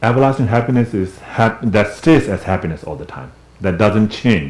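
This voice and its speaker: Resonant and fairly low in pitch, a man talks at a moderate pace with lively intonation. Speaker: Buddhist teacher and translator. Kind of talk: dharma class teaching. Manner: conversational.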